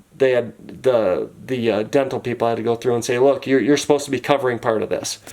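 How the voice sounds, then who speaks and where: At a very fast pace, a man with a medium-pitched voice talks with fairly even intonation. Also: hardly any pauses. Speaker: vlogger sharing personal dental costs. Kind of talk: casual vlog walkthrough of a bill.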